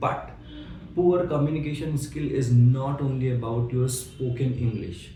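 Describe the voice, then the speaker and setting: Audible room echo surrounds a man at a medium pitch. He keeps a moderate pace and fairly even intonation. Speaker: interview coach. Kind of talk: tutorial.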